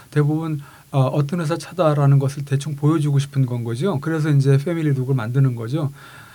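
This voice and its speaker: This man's voice is fairly high in pitch, with a dark, mellow tone. It sounds somewhat breathy. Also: fairly even intonation, fairly quick pace. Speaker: car designer and university vice president. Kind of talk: interview chat.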